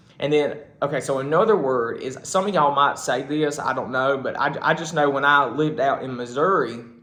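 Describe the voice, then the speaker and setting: Fairly quick speech from a man with a strong Southern US accent, fairly high pitch and ordinary pitch variation, amid noticeable background noise. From South Carolina. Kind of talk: casual talk to camera.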